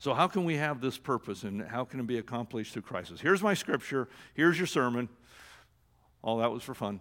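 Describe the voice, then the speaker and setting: On a very clean recording with a silent background, a man with an American accent and a normal speaking voice talks at a fairly quick pace with medium pitch and lively intonation. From Oregon. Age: 60s. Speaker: church executive director and former pastor. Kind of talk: sermon.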